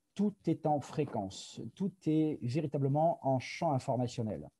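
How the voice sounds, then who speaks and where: A man's fairly high, somewhat breathy voice, dark and mellow in tone, in a dry, close sound with no echo. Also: very clean recording, silent background. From France. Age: 50s. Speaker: product presenter. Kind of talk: presentation. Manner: hesitant, many fillers.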